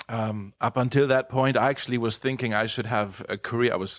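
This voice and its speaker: Speaking at a very fast pace, a man talks with a German accent at a medium pitch and fairly even intonation. The recording is very clean with a silent background and a dry, close sound with no echo. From Germany. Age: 30s. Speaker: pastor. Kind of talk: casual interview.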